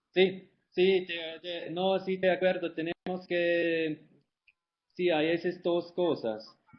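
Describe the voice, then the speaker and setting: Speaking at a very slow pace, a man with a non-native accent and a high pitch keeps his intonation fairly even. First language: not Spanish (speaking Spanish). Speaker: life cycle analysis expert. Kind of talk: webinar Q&A. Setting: online webinar. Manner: halting.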